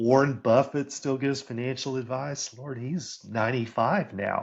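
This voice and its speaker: Against a quiet background, a man at medium pitch speaks at a fairly slow pace in a normal speaking voice. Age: 60s. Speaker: career coach and author. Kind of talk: interview conversation.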